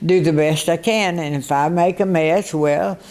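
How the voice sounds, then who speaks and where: A woman with a Texan accent, very deep, low pitch, a dark, mellow tone, ordinary pitch variation and a fairly slow pace. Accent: Texan Southern. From US South, northeast Texas. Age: 80s+. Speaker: centenarian interviewee. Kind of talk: radio interview.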